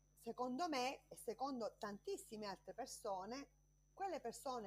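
Using an ordinary speaking voice, a woman talks at a moderate pace and fairly high pitch with lively intonation. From Sicily, Trapani province. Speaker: politician and justice witness. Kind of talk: interview. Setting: video call.

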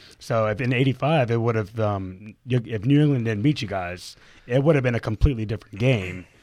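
At a fairly quick pace, a man speaks in an ordinary speaking voice with medium pitch and ordinary pitch variation. The background is quiet. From Atlanta, US South. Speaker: podcast co-host. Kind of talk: casual chat. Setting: studio.

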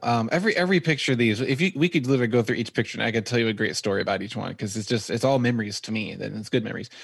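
Speaking at a very fast pace, a medium-pitched man talks with an American accent. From Texas. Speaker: photographer and videographer. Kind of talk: casual interview chat. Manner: laughs often.

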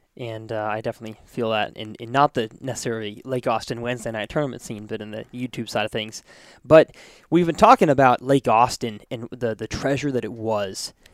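A man talks in a normal speaking voice at medium pitch, with fairly even intonation and a fairly quick pace, though his loudness swings widely. The recording is very clean, with a silent background and a dry, close sound with no echo. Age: 20s. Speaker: podcast host. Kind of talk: casual interview. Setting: company headquarters studio.

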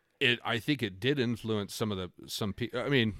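An unremarkable speaking voice from a man, fairly low in pitch with ordinary pitch variation and a fairly quick pace, on a very clean recording with a silent background. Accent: American. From north central Washington, US. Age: 30s. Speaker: guest, music fan. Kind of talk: casual interview chat.

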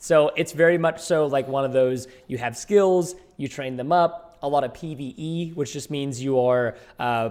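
A fairly high-pitched man speaks at a moderate pace. He has an unremarkable speaking voice. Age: 20s. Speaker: gaming content creator. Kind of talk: casual chat.

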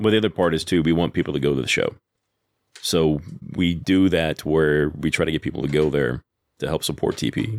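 A man with an American accent, his pitch very deep and low, with vocal fry. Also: ordinary pitch variation, fairly quick pace. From Texas. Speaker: cigar company sales rep. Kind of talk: casual interview.

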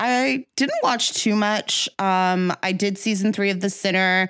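A woman with an unremarkable speaking voice talks at a fairly slow pace on a very clean recording with a silent background. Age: 30s. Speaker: film podcast co-host. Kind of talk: casual chat.

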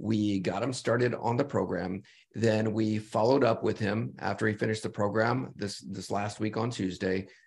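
A man's plain, everyday voice, fairly low in pitch, at a moderate pace with ordinary pitch variation. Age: 50s. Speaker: health podcast co-host. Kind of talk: casual chat.

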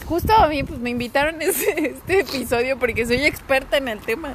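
Over noticeable background noise, a woman speaks at a moderate pace with a high pitch. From Mexico, León. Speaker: podcast guest. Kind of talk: comedic podcast chat.

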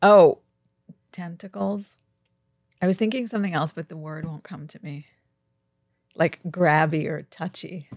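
A woman's fairly low pitch in a New York accent, with lively intonation, big swings in loudness, long, frequent pauses and a dry, close sound with no echo. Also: fairly slow pace. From Brooklyn, New York. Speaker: fashion publicist and harm reduction activist. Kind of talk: casual chat.

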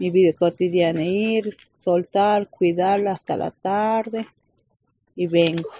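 In a dry, close sound with no echo, a woman speaks very slowly in a dark, mellow tone with fairly even intonation. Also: medium pitch for a woman. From Argentina, Calchaquí valleys, Cafayate, Salta. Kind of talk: interview. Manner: halting.

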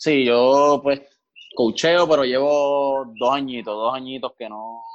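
In a normal speaking voice, a man talks with fairly even intonation. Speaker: volleyball player and coach. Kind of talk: interview.

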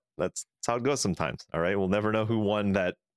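A man does the talking. His accent is American. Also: dry, close sound with no echo, very clean recording, silent background. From California. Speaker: podcast co-host. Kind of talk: casual chat.

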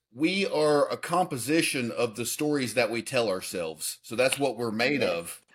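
In an American accent, a man with a plain, everyday voice speaks at a moderate pace and medium pitch. His intonation is lively, and the recording is very clean with a silent background. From US South, Alabama. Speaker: fitness coach and personal development advisor. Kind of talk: interview.

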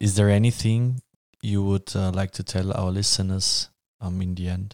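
A man with a German accent, a very deep, low pitch and a dark, mellow tone at a moderate pace, in a very clean recording with a silent background and a dry, close sound with no echo. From Vienna, Austria. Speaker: student podcast host. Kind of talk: interview moderation.

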